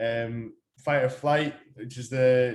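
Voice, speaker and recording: A man speaks at a medium pitch. The intonation is fairly even. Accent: Irish. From Ireland. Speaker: fitness coach. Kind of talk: lecture. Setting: talk to company staff. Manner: hesitant, many fillers.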